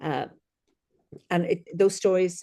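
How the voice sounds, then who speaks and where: Someone with an Irish accent talks at a moderate pace. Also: woman. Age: 60s. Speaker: celebrant and storyteller. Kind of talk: podcast interview answer.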